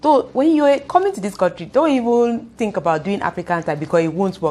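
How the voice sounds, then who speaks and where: A woman speaks at a fairly quick pace in a Nigerian accent. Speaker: youtuber. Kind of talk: vlog talk to camera. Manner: fast; animated.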